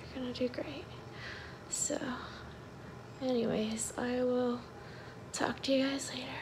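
Against noticeable background noise, a woman talks in a high pitch with a tired tone. Her intonation stays fairly even. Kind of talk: casual vlog chat. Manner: weak, tired post-surgery voice. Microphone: phone near.

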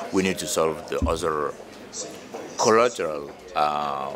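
Over noticeable background noise, a man talks in a very deep, low pitch with ordinary pitch variation. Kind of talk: interview answer. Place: hall.

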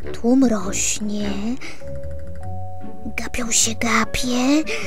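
Music can be heard behind the voice. The words come at a very slow pace. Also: woman. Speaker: voice actor, reader. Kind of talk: children's poetry reading.

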